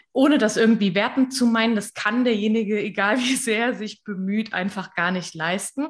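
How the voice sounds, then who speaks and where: A woman with a fairly high, somewhat breathy voice talks at a moderate pace with ordinary pitch variation and hardly any pauses. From western Germany, near Koblenz. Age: 20s. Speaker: social media coach and freelancer. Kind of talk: interview.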